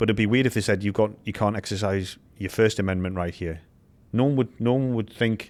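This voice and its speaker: A man with a British accent talks at a fairly quick pace in a fairly low voice with fairly even intonation, in a very clean recording with a silent background. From UK. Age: 50s. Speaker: former special forces soldier. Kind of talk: casual chat.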